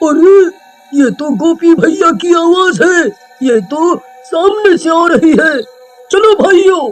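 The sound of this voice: A man performs a cartoonish character voice. He delivers it at a fairly slow pace.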